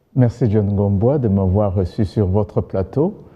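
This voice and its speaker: A man with a Rwandan accent speaks at a very slow pace. His pitch is fairly low, with ordinary variation. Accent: Kinyarwanda-accented French. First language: Kinyarwanda (speaking French). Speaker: governance expert. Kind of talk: TV interview. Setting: TV studio.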